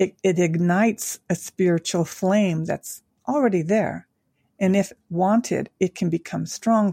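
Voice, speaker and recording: Loudness stays very even as the speaker talks with an American accent in a dark, mellow tone. The pace is fairly slow, with ordinary pitch variation. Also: woman, medium pitch for a woman. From Tokyo, Japan (American father, Japanese mother). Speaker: angel intuitive and life coach. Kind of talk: interview conversation.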